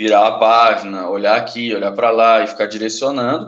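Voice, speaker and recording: Lively intonation and a moderate pace from a man with a plain, everyday voice at a medium pitch. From Brazil, Uberlândia, Minas Gerais. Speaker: comic book artist. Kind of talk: casual interview chat.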